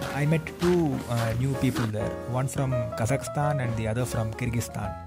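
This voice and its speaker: A man speaks at a moderate pace while loud background noise plays. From India. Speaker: vlogger. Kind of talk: vlog narration. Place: forest.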